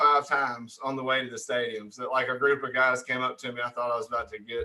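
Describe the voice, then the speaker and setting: A man speaks at a very fast pace. He talks in an American accent. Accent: redneck. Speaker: podcast host. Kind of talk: casual chat.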